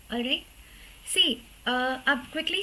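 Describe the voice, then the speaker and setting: Her voice, a woman's, is high in pitch with ordinary pitch variation. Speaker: law teacher. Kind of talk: online live class lecture. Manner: slow; Hindi-English code-switching.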